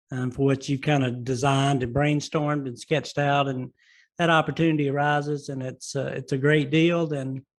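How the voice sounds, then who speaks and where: A man with a Southern US accent speaks in a flat monotone at a moderate pace. His pitch is fairly high, and the background is quiet. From US South. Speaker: podcast host. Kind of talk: interview. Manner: halting, many fillers and repeated words.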